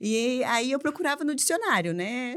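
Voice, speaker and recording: A woman with an ordinary speaking voice, lively intonation, and a fairly slow pace. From Brazil, Mococa (São Paulo state). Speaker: English teacher and school owner. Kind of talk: casual podcast interview.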